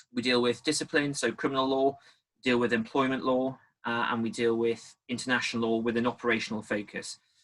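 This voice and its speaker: This man has a strong Geordie accent and a medium pitch, talking at a fairly quick pace. His intonation is monotone and flat, with very even loudness. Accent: thick Geordie. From northeast England, Newcastle area. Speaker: naval officer and barrister. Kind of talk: panel talk at professional event.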